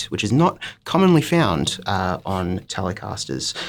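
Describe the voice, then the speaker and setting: A man is speaking. His pitch swings very widely. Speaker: guitar demonstrator at music shop. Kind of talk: product demo. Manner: casual with frequent fillers.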